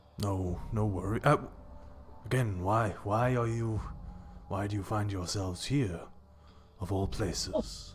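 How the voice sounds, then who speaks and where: Putting on a character voice at a fairly low pitch, a man speaks at a fairly slow pace with long, frequent pauses and fairly even intonation over clear background noise. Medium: actual play. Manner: courteous, gentle.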